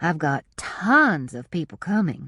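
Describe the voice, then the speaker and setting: A put-on character voice at a middle pitch moves at a fairly slow pace over a quiet background. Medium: read story. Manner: warm, cooing.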